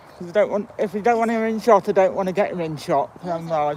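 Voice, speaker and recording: A high-pitched man with an East Midlands accent talks at a fairly quick pace with ordinary pitch variation over noticeable background noise. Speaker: walking vlogger. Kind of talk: casual vlog narration. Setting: outdoors. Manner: mumbling.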